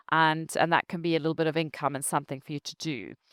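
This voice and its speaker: A woman with a very deep, low pitch and a bright, sharp tone is heard in a dry, close sound with no echo on a very clean recording with a silent background. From Zimbabwe. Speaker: travel company founder. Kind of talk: interview.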